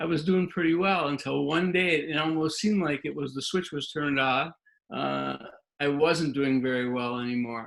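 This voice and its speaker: This man has an ordinary speaking voice with a fairly high pitch. His pitch varies in an ordinary way. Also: moderate pace. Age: 60s. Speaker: retired dentist, patient. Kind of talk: testimony.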